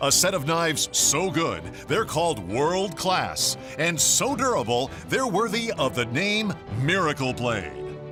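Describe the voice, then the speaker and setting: Over background music, a man speaks at a fairly slow pace with a fairly high pitch. His pitch swings very widely while his loudness stays very even. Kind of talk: TV commercial read.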